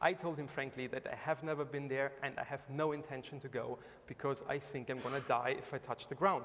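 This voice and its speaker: A man's fairly high voice with a German accent, fairly even intonation and a fairly quick pace over noticeable background noise. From Germany. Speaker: investor, entrepreneur. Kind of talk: panel talk. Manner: hesitant, many fillers.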